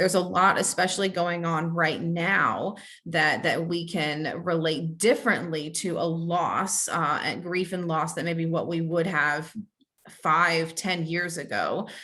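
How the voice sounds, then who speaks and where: A woman speaks fairly slowly in a bright, sharp tone with a fairly low pitch. Her intonation is monotone and flat, and room echo is audible. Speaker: licensed counselor presenting a training webinar. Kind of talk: webinar training lecture. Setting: online webinar with chat. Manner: halting, many fillers and repetitions.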